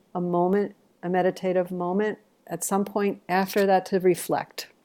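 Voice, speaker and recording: In a very clean recording with a silent background, a woman of medium pitch speaks at a fairly slow pace with a dark, mellow tone. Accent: American. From New Jersey. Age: 60s. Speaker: pet grief coach and animal communicator. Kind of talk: interview.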